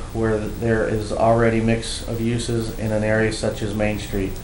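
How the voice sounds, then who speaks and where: A man in a monotone, flat intonation, with light background noise and audible room echo. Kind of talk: formal report and letter reading. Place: hall. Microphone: podium.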